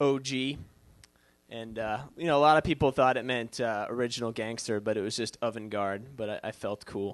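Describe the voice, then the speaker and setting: A man with a slight Boston accent, medium pitch, moderate pace and fairly even intonation. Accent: Boston accent, faint. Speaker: comedian. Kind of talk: stand-up. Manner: hesitant, many fillers.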